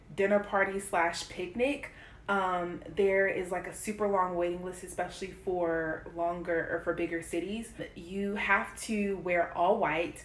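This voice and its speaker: Audible room echo surrounds a woman speaking at a fairly slow pace with fairly even intonation. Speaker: vlogger. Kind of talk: casual vlog chat. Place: kitchen. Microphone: phone near.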